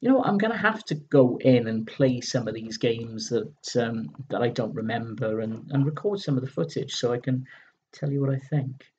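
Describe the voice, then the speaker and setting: A man with a British accent speaks at a moderate pace in a medium pitch, somewhat breathy, with lively intonation. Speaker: retro gaming video host. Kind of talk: casual magazine review commentary. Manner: halting, stumbling over words.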